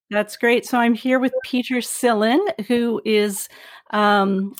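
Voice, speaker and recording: A woman with a Canadian accent speaks in a normal speaking voice, fairly high in pitch with ordinary pitch variation, at a fairly slow pace. The recording is very clean, with a silent background and a dry, close sound with no echo. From Vancouver, Canada. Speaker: psychotherapist and podcast host. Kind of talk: podcast intro and outro; casual interview.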